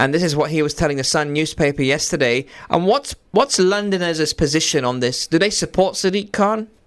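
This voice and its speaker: Barely pausing, a man with a normal speaking voice talks at a fairly quick pace with fairly high pitch. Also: ordinary pitch variation. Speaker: radio host. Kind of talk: live radio DJ patter, friendly call-in banter with greetings and sign-offs.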